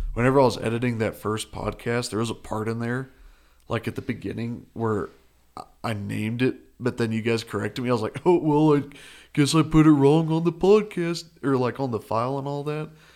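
This man has a Texas accent and a medium pitch. His pitch varies in an ordinary way, and he talks at a fairly quick pace. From Perryton, Texas Panhandle. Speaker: college student, radio station worker. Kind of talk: casual chat.

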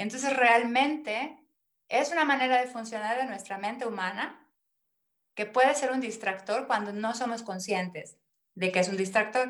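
A woman with a fairly high pitch talks at a moderate pace with ordinary pitch variation. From Mexico, Mérida, Yucatán. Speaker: personal development coach. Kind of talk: interview.

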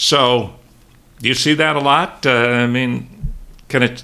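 Vocal fry runs through a man's bright, sharp tone. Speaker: podcast host. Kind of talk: interview. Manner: hesitant, many filler sounds.

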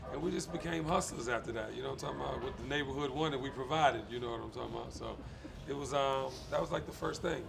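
A man talking at a very fast pace, with audible room echo and music in the background. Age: 40s. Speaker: lifestyle specialist. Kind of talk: casual chat.

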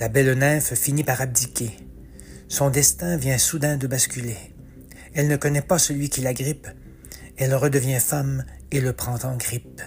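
A man talks at a fairly slow pace with a medium pitch and fairly even intonation. His pauses are long and frequent. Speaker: author and narrator. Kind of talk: dramatic narration of rhyming mythological verse, read aloud as a theatrical epic tale; scripted narration with podcast intro and outro. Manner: measured, storyteller cadence with emphasis on the rhymes and action beats.

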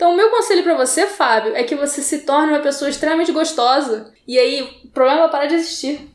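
Talking at a very fast pace, a woman with a high voice speaks in a Rio de Janeiro accent. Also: ordinary pitch variation. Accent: Rio de Janeiro (carioca). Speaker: podcast host. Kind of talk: casual chat. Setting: large room with echo.

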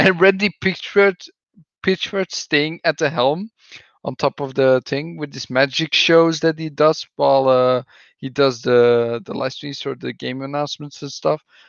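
Speaking with a Belgian accent, a man with a fairly high pitch shows big swings in loudness. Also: ordinary pitch variation, fairly slow pace. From Belgium. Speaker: podcast co-host. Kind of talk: casual chat. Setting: video call.

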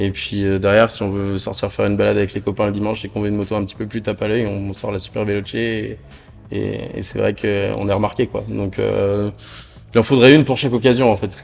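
Against music in the background, a man talks at a fairly quick pace and a fairly low pitch in a flat, monotone way. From northern France. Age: 20s. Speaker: motorcycle dealership manager. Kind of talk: casual interview. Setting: dealership showroom. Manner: hesitant, many fillers.

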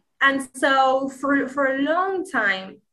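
A woman with a Spanish accent speaks in a bright, sharp tone with ordinary pitch variation. The recording is very clean, with a silent background. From Spain, Granada. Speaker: language learner and content creator. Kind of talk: interview.

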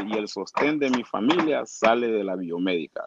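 A man at a fairly slow pace with lively intonation, in a dry, close sound with no echo. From Honduras, Trujillo, Colón (Garifuna community). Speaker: bodybuilder. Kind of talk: interview. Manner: halting, many repetitions.

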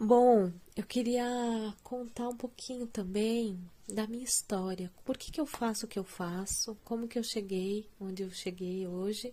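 In a dark, mellow tone that is somewhat breathy, a woman with a fairly high pitch speaks fairly slowly with fairly even intonation. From Brazil, Curitiba. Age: 30s. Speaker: music educator and podcast host. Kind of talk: solo podcast monologue.

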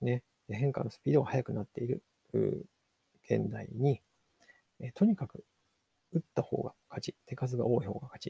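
With a dry, close sound and no echo, a man at a medium pitch speaks at a moderate pace, with big swings in loudness and long, frequent pauses. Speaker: podcast host, digital marketer. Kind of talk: solo book review podcast. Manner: halting, many fillers.

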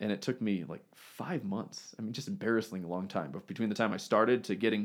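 Here is an ordinary speaking voice from a man with fairly low pitch and ordinary pitch variation. He talks at a fairly quick pace on a very clean recording with a silent background. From US, moved around (Texas, Missouri). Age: 30s. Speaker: physical therapist and business owner. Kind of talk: casual interview.

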